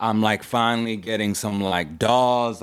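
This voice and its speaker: A man with an American accent and a fairly low pitch speaks at a fairly slow pace with fairly even intonation. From Houston, Texas (Third Ward). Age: 30s. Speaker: rapper. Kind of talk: interview.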